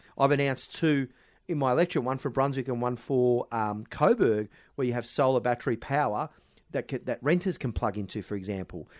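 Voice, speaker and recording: A man with an Australian accent speaks at a fairly quick pace and fairly high pitch. The recording is very clean and silent behind him, with a dry, close sound and no echo. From Melbourne, Australia. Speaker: politician. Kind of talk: interview.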